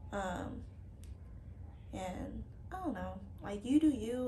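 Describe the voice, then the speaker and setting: A woman speaks with audible room echo. Noticeable background noise runs underneath. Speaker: book vlogger. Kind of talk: casual chat. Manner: hesitant, many fillers.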